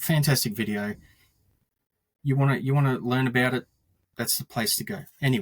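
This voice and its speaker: A man with an Australian accent speaks at a fairly quick pace and a medium pitch, his voice somewhat breathy, with ordinary pitch variation and long, frequent pauses. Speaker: Australian Star Wars collector. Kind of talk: casual podcast interview. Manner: halting, many repetitions.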